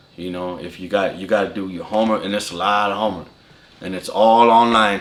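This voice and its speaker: Over noticeable background noise, a man with an American accent talks in a fairly low voice with fairly even intonation. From California. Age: 30s. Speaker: apprentice lineman. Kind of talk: interview. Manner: casual.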